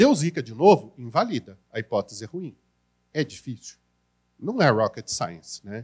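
Set against a quiet background, a somewhat breathy voice moves at a moderate pace with very wide pitch swings, big swings in loudness and long, frequent pauses. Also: man, medium pitch for a man. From Brazil. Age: 40s. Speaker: marketing consultant and educator; educator. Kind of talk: conference talk. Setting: stage with audience. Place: hall. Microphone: handheld.

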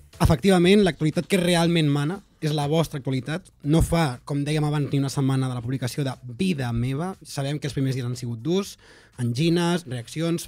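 Speaking at a fairly quick pace against a quiet background, a man uses a fairly high pitch with ordinary pitch variation. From Catalonia. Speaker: podcast host. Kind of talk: casual chat. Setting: studio. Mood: joking, playful. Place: studio. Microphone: studio mic.

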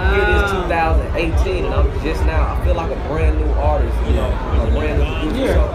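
A man speaks at a moderate pace with ordinary pitch variation while crowd noise carries in the background. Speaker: guest. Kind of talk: interview answer. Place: hall. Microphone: studio mic.

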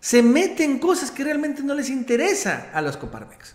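Audible room echo surrounds this recording. A man talks at a moderate pace. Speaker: political commentator. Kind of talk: commentary.

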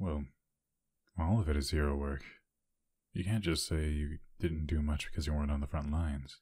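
A man speaks fairly quickly but with long, frequent pauses, his very deep, low voice somewhat breathy. His tone is dark and mellow, and his intonation fairly even. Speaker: ASMR voice actor playing a hero character. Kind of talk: whispered ASMR roleplay, scripted scenario as a caring hero. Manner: intimate, low-key, caring bedside tone.

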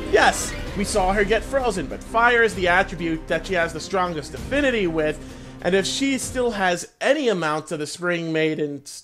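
Speech comes at a moderate pace with clear music in the background. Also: man. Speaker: reaction video creator. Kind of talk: casual reaction commentary. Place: home room. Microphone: headset.

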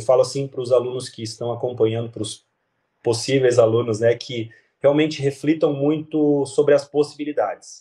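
Somewhat breathy, this man's voice has a dark, mellow tone and a fairly high pitch. His pace is moderate and his intonation fairly even. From Santa Catarina, southern Brazil (São Bento do Sul). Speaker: physiotherapist and ergonomics student. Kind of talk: interview testimony. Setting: video call. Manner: halting.

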